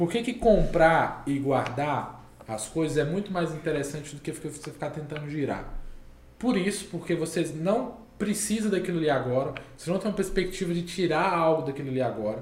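A man with a fairly high pitch speaks at a moderate pace, his intonation lively. Room echo is audible, and there is noticeable background noise. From Minas Gerais, Brazil. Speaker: crypto community founder. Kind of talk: podcast interview.

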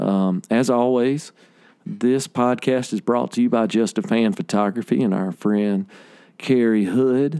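Through a dry, close sound with no echo and a very clean recording with a silent background, a man with a Southern US accent speaks at medium pitch and a fairly slow pace in a dark, mellow tone, with lively intonation and very even loudness. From Alabama. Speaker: podcast host and musician. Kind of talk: casual interview chat.

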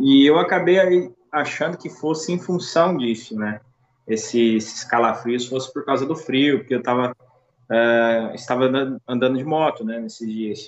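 With lively intonation and a normal speaking voice, a man talks at a moderate pace and a medium pitch. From Brazil, Minas Gerais (Uberaba). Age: 30s. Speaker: COVID-19 survivor. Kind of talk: casual interview, personal testimony.

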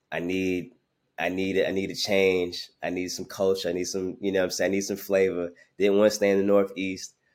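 Over a very clean recording with a silent background, a man with an American accent speaks at a fairly quick pace in a very deep, low pitch and monotone, flat intonation. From Brooklyn, New York. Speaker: sports marketing executive. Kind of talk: podcast interview.

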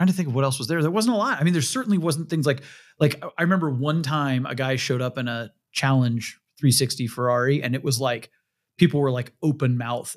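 A man talks at a very fast pace with ordinary pitch variation and a fairly high pitch. The recording is very clean, with a silent background. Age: 40s. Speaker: podcast host, car auction site editor. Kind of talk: casual chat.

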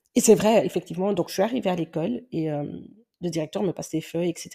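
This woman has a fairly low pitch and a dark, mellow tone, with ordinary pitch variation. The recording is very clean, the background silent. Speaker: podcaster and teacher. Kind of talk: personal monologue podcast. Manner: hesitant, many fillers.

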